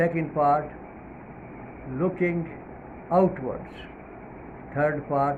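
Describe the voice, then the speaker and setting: With a non-native accent, a man speaks very slowly in a room with audible echo. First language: not English. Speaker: Islamic preacher. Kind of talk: religious talk. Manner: hesitant, many fillers.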